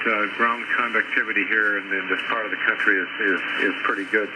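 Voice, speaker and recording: At a moderate pace and medium pitch, a man talks while noticeable background noise is present. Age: 70s. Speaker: ham radio operator. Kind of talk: casual chat. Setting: ham radio transmission. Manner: halting, repeats words.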